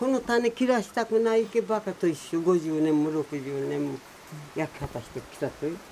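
Over noticeable background noise, a woman with a fairly low voice talks at a moderate pace, her pitch swinging very widely and her loudness shifting a lot. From Miyazaki, Kyushu (rural mountain village). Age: 80s+. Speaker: traditional slash-and-burn farmer. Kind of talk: interview.

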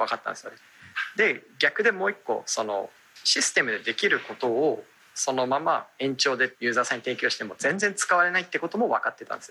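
Very wide pitch swings from a man with a fairly high voice, moving at a fairly quick pace. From Japan, Aomori (Hirosaki). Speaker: startup founder and CEO. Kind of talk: radio interview.

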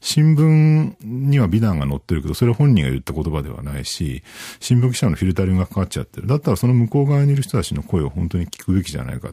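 With hardly any pauses, a man with a fairly low, dark and mellow voice talks at a very fast pace, his pitch swinging very widely. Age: 40s. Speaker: IT journalist. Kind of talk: interview. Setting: studio.

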